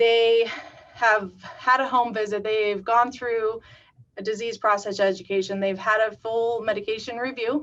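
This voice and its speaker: A woman with a fairly high pitch uses a normal speaking voice, talking at a moderate pace with ordinary pitch variation. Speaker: community paramedic program staff. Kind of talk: webinar presentation.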